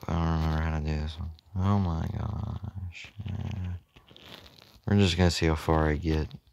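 Soft-spoken and very deep in pitch, a man talks at a moderate pace with long, frequent pauses. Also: fairly even intonation. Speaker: gaming channel host. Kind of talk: gameplay commentary.

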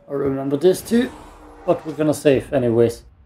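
Man with fairly high pitch and ordinary pitch variation amid noticeable background noise. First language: German. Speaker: gaming YouTuber. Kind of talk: let's play gameplay commentary. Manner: frequent laughter.

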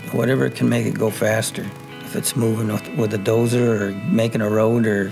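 A man's fairly low voice at a moderate pace, with ordinary pitch variation and clear music in the background. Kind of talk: interview answer. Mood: relaxed, fond recollection. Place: home room.

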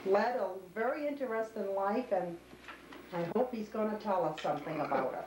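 A woman's voice at a fairly high pitch, with lively intonation and a moderate pace, over noticeable background noise. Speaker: oral history interviewer. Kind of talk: interview questions. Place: kitchen. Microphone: old recording.

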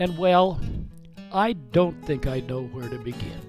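A man delivers his words fairly slowly. Behind him, music can be heard. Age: 70s. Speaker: senior storyteller. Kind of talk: personal storytelling monologue.

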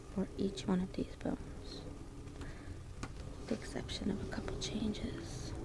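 Someone soft-spoken talks at a moderate pace over loud background noise. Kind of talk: casual study tutorial. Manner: soft-spoken ASMR study voice.

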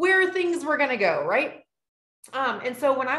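A woman talks at a fairly quick pace, and the room echo is audible. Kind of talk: presentation to an online audience. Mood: warm, personal story. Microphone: video call.

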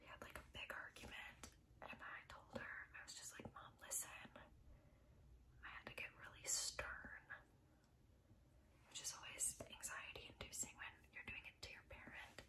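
Whispering and soft-spoken, the speaker moves at a moderate pace with long, frequent pauses. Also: woman. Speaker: beauty vlogger. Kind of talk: casual vlog chat. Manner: soft ASMR whisper, rambling. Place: home room. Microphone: phone near.

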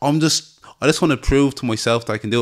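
A man with a Dublin accent talks at a very fast pace with fairly even intonation. The background is quiet. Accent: Dublin Irish. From Dublin, Ireland. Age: 20s. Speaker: MMA fighter. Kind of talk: interview. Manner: hesitant, filler-heavy. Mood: relaxed, confident. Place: studio. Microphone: studio mic.

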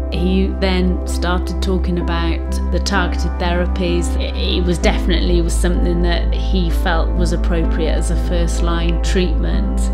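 A woman speaks at a fairly slow pace over loud music in the background. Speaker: lung cancer patient. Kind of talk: interview answer. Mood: determined, hopeful, reflective. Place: home room.

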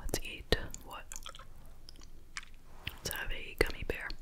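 The voice is soft-spoken and whispering at a very slow pace. Loud background noise fills the recording. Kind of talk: casual vlog chat. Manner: soft ASMR whisper.

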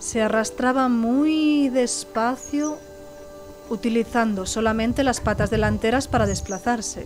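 Over music in the background, a woman with a fairly high voice talks at a fairly slow pace, her intonation fairly even and her loudness very even. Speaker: storyteller. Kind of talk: personal story narration.

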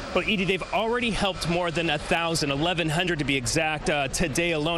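Over noticeable background noise, a man speaks at a fairly quick pace with ordinary pitch variation, the sound dry with no echo. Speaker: TV news reporter. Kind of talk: live news report. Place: hall. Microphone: handheld.

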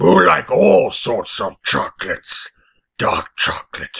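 Raspy and fairly slow, the put-on character voice drags through its lines. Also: man. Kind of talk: comic overacting. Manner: grumpy, shouting, demanding.

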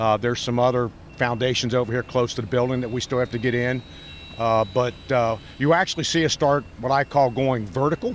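There is light background noise as a man talks with fairly even intonation, the sound dry and echo-free. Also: fairly quick pace. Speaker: interviewee. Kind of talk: interview answer. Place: street. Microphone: handheld.

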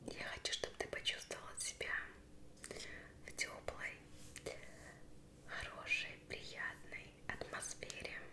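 Very slow whispering from a woman, broken by long, frequent pauses. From Russia. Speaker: ASMR creator. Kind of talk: ASMR roleplay. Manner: whispered. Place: kitchen.

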